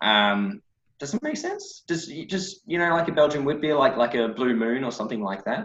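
A man with an Australian accent speaks at a moderate pace and fairly high pitch. His pitch swings very widely. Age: 30s. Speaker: brewer. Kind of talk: casual chat. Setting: video call.

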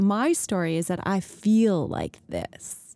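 With a Canadian accent, a woman speaks at a medium pitch in a dark, mellow tone with ordinary pitch variation on a very clean recording with a silent background. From Ontario, Canada (Collingwood area). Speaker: entrepreneur, founder of a women's social club. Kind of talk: casual interview chat.

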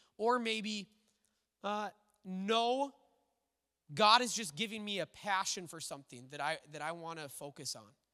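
In an American accent, a man projects a raised voice that is high-pitched and bright and sharp in tone, with lively intonation. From Minnesota. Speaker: pastor. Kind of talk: sermon. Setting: church.

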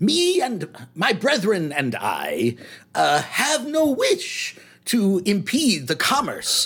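The voice is a man's put-on character voice. His delivery moves at a very slow pace. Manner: smooth but slightly shifty; polite, formal, overly eager salesman.

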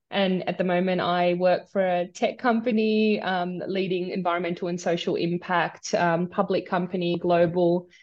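In an Australian accent, a woman speaks at a medium pitch and a moderate pace. Her intonation is monotone and flat. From Australia, migrated from India at nine. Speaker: sustainability executive. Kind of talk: interview. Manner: hesitant, many fillers.

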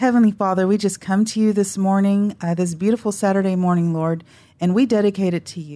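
An unremarkable speaking voice with an American accent moves at a fairly quick pace with fairly even intonation, on a very clean recording with a silent background. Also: woman, medium pitch for a woman. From Dallas, Texas. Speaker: guest, offers prayer. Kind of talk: casual chat, prayer.

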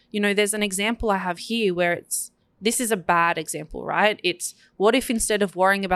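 An ordinary speaking voice moves at a fairly quick pace with fairly even intonation, in a dry, close sound with no echo and a very clean recording with a silent background. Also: woman. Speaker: marketing podcast co-host. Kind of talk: casual business chat.

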